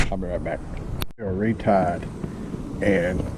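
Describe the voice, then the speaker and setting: The voice of a man, fairly low in pitch, carries audible room echo. Noticeable background noise is also present. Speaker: kayak fishing vlogger. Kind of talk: casual vlog narration. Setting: outdoors on a kayak. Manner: loud.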